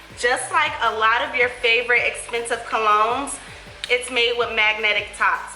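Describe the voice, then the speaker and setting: Music plays in the background. A woman with a fairly high pitch talks at a moderate pace. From Buffalo, New York. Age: 20s. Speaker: beauty YouTuber. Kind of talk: sponsored product review.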